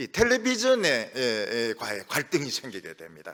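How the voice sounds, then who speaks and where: Speaking at a very slow pace, a man with a bright, sharp tone moves through very wide pitch swings and vocal fry. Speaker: pastor. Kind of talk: sermon. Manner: frequent filler sounds.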